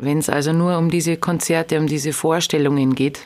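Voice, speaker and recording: A very clean recording of a woman against a silent background. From Lower Bavaria (Straubing-Bogen district). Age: 30s. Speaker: singer. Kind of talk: interview.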